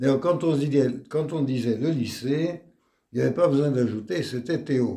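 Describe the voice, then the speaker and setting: Dark, mellow male voice, its pitch varying in an ordinary way. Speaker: retired teacher. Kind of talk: testimony interview.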